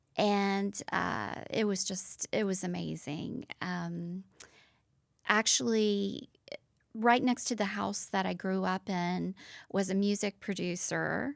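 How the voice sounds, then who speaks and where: The recording is very clean, with a silent background. A woman speaks very slowly in a Southern US accent. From US South, Nashville, Tennessee. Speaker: former fashion model. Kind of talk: interview.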